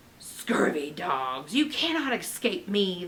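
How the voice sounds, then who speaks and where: Shouting at a fairly slow pace, a female-sounding put-on character voice at a middle pitch makes very wide pitch swings over clear background noise. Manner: shouting, menacing.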